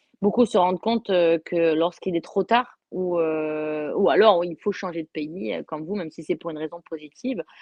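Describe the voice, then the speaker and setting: Hardly pausing, a woman with a fairly low pitch talks at a moderate pace with ordinary pitch variation. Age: 30s. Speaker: motorcycle racer. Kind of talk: interview. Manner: halting, many repetitions.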